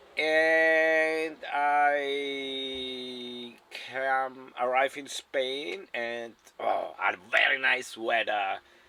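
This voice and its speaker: A man's medium-pitched voice at a very slow pace, with fairly even intonation over noticeable background noise. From South Tyrol, Italy. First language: German. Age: 60s. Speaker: retired van dweller. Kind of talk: casual interview. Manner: halting, non-native English.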